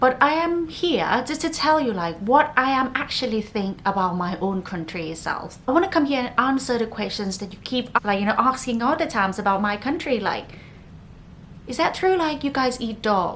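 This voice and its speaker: A woman's high-pitched voice with very wide pitch swings, set against noticeable background noise. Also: moderate pace. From northern Thailand, Chiang Mai. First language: Thai. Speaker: podcast host. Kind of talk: casual podcast monologue.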